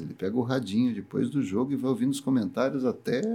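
A man's medium-pitched voice, fairly quick in pace, with a dark, mellow tone. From Brazil, Campinas (São Paulo state). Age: 50s. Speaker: entrepreneur and investor. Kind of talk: interview.

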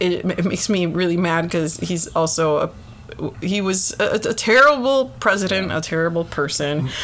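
Speaking at a moderate pace, a woman uses a normal speaking voice that is fairly low in pitch and has lively intonation. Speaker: podcast co-host. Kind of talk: casual banter.

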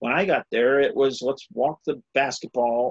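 A man with an unremarkable speaking voice talks at a fairly high pitch with ordinary pitch variation, in a dry, close sound with no echo. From South Carolina. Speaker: high school basketball coach. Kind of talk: interview.

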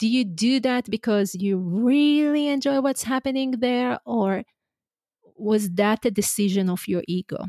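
A woman with an Israeli accent, dark and mellow in tone, at a moderate pace with ordinary pitch variation, in a very clean, dry, close recording with a silent background and no echo. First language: Hebrew. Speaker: leadership coach. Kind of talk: casual chat. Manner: energetic.

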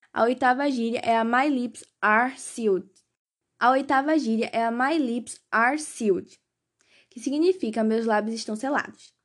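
Speaking fairly slowly at a high pitch with ordinary variation, a woman is heard in a very clean recording with a silent background. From Pernambuco, Brazil. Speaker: podcast host teaching English slang. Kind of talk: scripted tutorial.

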